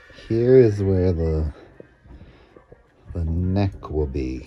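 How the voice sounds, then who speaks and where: A man's voice with music playing in the background. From Texas, Lubbock. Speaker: drag performer and vlogger. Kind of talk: casual sewing vlog. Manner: casual, rambling commentary.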